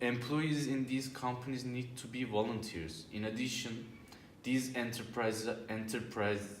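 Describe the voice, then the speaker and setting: A man with a non-native accent talks at a fairly slow pace in a medium pitch with fairly even intonation, amid noticeable background noise and audible room echo. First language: not English. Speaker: job interview candidate in student role-play. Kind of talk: scripted role-play presentation. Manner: halting.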